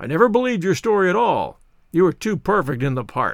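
This is a put-on character voice with very wide pitch swings. It moves at a very fast pace. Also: man. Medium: read story. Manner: cheerful, hearty.

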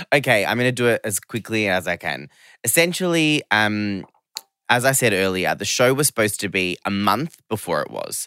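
Bright and sharp in tone, this voice with an Australian accent has lively intonation, recorded very cleanly against a silent background with a dry, close sound and no echo. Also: man, medium pitch for a man, moderate pace. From Australia, Geelong, Victoria. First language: not English (family background Serbian/Romanian). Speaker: fashion media creative, former magazine staffer. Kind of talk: casual interview chat.

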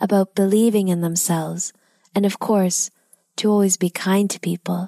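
Reading aloud in a natural voice, fairly even intonation, quiet background

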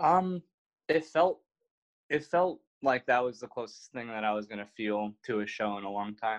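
Using a normal speaking voice, a man talks at a moderate pace and medium pitch with lively intonation, the sound dry and close with no echo. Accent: American. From Milwaukee, Wisconsin. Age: 20s. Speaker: filmmaker and photographer. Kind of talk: interview. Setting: remote recording from home.

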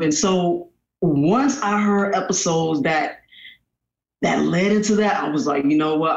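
A man talks with a high pitch. His pitch variation is ordinary. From Tallahassee, Florida. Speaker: musician and recording artist. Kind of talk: casual chat.

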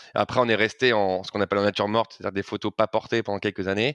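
The sound is dry and close with no echo. A man with a fairly low pitch talks very fast with fairly even intonation. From Paris, France. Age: 30s. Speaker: fashion brand co-founder. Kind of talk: interview. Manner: hesitant, many fillers.

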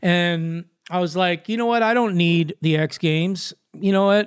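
A man with a Southern California accent, high pitch, fairly even intonation and a moderate pace. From Los Angeles, California. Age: 50s. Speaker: professional skateboarder. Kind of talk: interview. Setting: podcast.

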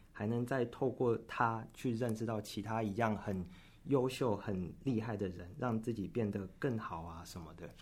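A man talks in a medium pitch with ordinary pitch variation. His voice is somewhat breathy. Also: moderate pace. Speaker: nursing student. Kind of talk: interview. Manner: halting, frequent self-repetitions.

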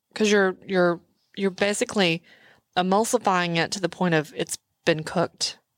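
With an American accent and an ordinary speaking voice, a woman talks at a moderate pace and medium pitch, her intonation fairly even, in a dry, close sound with no echo. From Texas. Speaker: podcast co-host. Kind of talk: casual chat.

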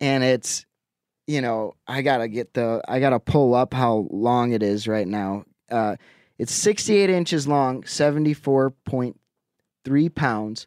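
In an Upper Midwest accent, a man talks at a fairly slow pace and medium pitch with ordinary pitch variation, the sound dry and close with no echo. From Wisconsin, Lake Winnebago. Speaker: angler. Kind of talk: casual chat.

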